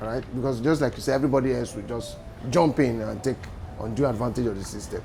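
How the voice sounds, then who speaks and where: The man's medium-pitched voice races at a very fast pace with fairly even intonation. Noticeable background noise runs underneath. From Nigeria. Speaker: entrepreneur. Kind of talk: interview.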